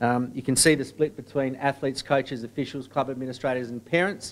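The speaker is a man with an Australian accent. His pitch sits in the medium range. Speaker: sports association executive. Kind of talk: presentation. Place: meeting room.

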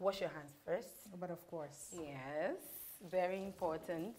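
A Ghanaian accent at a moderate pace, with long, frequent pauses and light background noise. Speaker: cooking show host. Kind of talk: cooking show hosting, casual chat. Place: kitchen.

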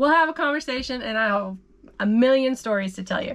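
A woman's fairly high, fairly bright voice with lively intonation at a fairly quick pace

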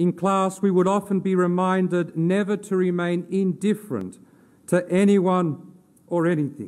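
This voice has a gentle tone and an Australian accent. The intonation is monotone and flat, and the loudness stays very even. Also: man, high pitch for a man, moderate pace. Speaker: theology lecturer giving a funeral eulogy. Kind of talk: formal funeral eulogy read from a prepared text in a cathedral. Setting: cathedral funeral service. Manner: solemn, measured and reverent, elevated literary diction; gentle, consoling delivery closing on a prayerful amen. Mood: solemn, reverent. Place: church. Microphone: podium.

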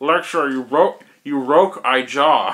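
This man puts on a character voice pitched fairly high. He mumbles his words. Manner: mumbling, slurred through a broken jaw.

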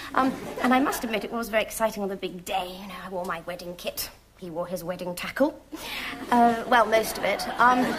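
A woman's voice moves at a moderate pace with ordinary pitch variation while noticeable background noise sits behind it. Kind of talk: comic monologue. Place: studio. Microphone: lapel.

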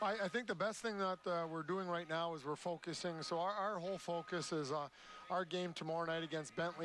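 Speaking at a fairly quick pace, a man uses a high pitch and fairly even intonation. The sound is dry with no echo, with light background noise. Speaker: hockey coach. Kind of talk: post-game interview; interview answer. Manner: measured, hesitant with fillers. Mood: calm, pleased. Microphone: headset.

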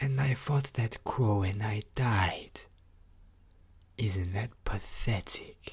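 In a put-on character voice, the speaker growls in a low pitch at a very slow pace, with long, frequent pauses. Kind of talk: ASMR roleplay. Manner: soft-spoken.

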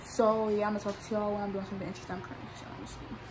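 A woman is speaking. Noticeable background noise runs behind her. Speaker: vlogger. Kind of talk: casual vlog chat. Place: home room. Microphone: phone near.

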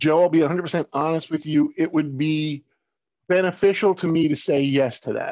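A man with a normal speaking voice, a fairly high pitch and an American accent, speaking at a moderate pace with fairly even intonation, dry sound with no echo and a quiet background. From Long Island, New York; New York. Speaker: marketing and print business owner; guest. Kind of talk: casual promotional interview. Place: home room. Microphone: video call.

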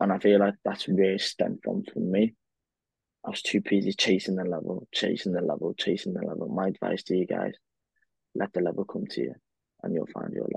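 The man's speech runs at a fairly quick pace. It sounds dry and echo-free, with quiet surroundings. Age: 20s. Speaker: physiotherapist and podcast co-host; podcast co-host. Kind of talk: casual chat. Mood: reflective, earnest. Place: home room. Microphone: earbuds.

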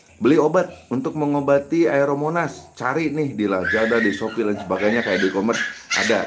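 At a fairly quick pace, a man with a medium pitch speaks with lively intonation over noticeable background noise. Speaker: YouTube fish farming channel host. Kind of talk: live stream Q&A tutorial. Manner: casual, conversational.

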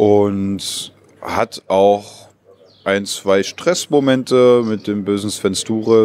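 A man's fairly low voice, dry and free of echo. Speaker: actor in an open-air pirate play. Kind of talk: interview answer. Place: street. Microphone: handheld.

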